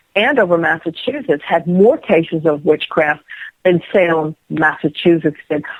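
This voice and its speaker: A woman with an American accent, a normal speaking voice, fairly low in pitch. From Rhode Island, US. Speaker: psychic medium. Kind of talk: interview.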